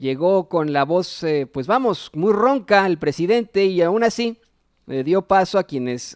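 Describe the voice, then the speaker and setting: A man's voice with very wide pitch swings, dry and close with no echo, on a very clean recording against a silent background. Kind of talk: political news commentary. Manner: casual, opinionated.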